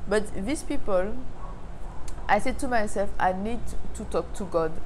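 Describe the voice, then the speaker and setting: A woman speaks with a French accent. Light background noise can be heard. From Martinique. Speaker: faith vlogger. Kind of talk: casual talk to camera. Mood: calm, earnest, reflective. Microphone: lapel.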